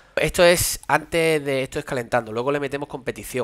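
A man at a fairly quick pace. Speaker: padel coach streamer. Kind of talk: commentary. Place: home room. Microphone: headset.

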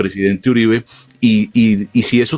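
With an ordinary speaking voice, a man talks at a medium pitch with ordinary pitch variation, the sound dry and close with no echo. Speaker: interviewer, show host. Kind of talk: political interview.

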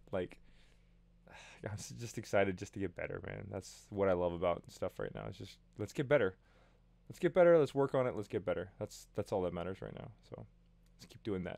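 A man speaks at a fairly quick pace, his loudness swinging widely. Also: quiet background, dry sound with no echo. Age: 30s. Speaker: vlogger. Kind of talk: casual vlog monologue. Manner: animated. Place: home room. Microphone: studio mic.

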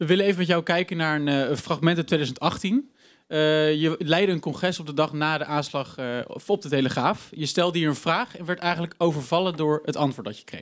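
Using a normal speaking voice, a man talks at a fairly quick pace and fairly high pitch with ordinary pitch variation against a quiet background. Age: 20s. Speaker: student presenter; presenter. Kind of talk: live interview. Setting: stage with audience. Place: studio. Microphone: handheld.

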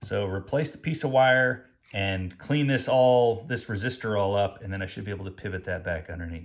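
With ordinary pitch variation and a moderate pace, a man talks against a quiet background. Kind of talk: tutorial. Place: workshop. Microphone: phone near.

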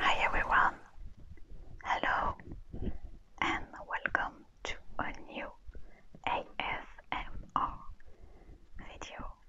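Whispered speech from a woman, very slow and broken by long, frequent pauses. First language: French. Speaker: ASMR creator. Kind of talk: ASMR show and tell. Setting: low-quality lapel mic recording.

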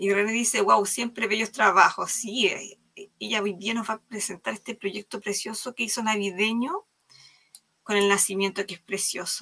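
This woman has a normal speaking voice at a medium pitch. She talks at a moderate pace with fairly even intonation. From Chile. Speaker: live craft stream host. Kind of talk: live craft demo chat. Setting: video call livestream.

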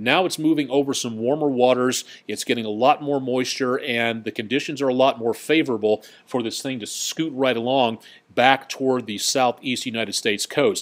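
Moderate pace and fairly even intonation from a man with a plain, everyday voice. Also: medium pitch for a man. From Colorado. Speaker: TV meteorologist. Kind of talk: live weather webcast with viewer comments. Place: studio.

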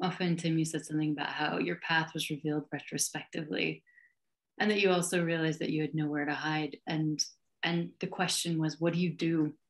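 A woman with an American accent talks at a fairly quick pace in a very deep, low pitch with monotone, flat intonation. The background is quiet. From Wyoming, US. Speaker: leadership mentor and sustainability expert; panelist. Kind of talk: panel discussion response. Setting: video call. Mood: warm, reflective. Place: home room. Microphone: video call.

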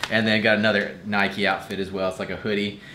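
A man speaks over light background noise. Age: 30s. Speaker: fitness vlogger. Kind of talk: casual vlog narration. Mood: upbeat, cheerful. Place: home room. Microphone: phone near.

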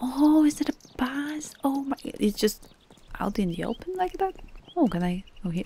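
The speech moves at a moderate pace, broken by long pauses that come often. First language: not English. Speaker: gaming YouTuber. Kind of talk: casual gameplay commentary.

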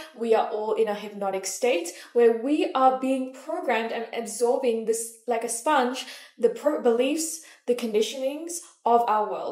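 A woman's high-pitched voice at a fairly slow pace, with ordinary pitch variation and audible room echo. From Malaysia. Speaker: manifestation coach. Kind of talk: motivational talk to camera. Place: home room.

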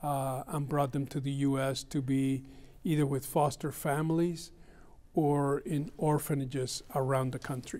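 His dark, mellow tone comes at a fairly high pitch for a man, fairly slow and in a monotone, flat intonation. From Cuba. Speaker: retired bank executive; interview guest. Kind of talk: interview. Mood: calm, reflective. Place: studio. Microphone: lapel.

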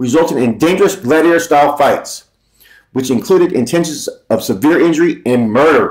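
A man talks at a fairly quick pace with lively intonation over a quiet background. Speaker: commentary vlogger. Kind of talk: reads article aloud with commentary. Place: home room. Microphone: webcam.

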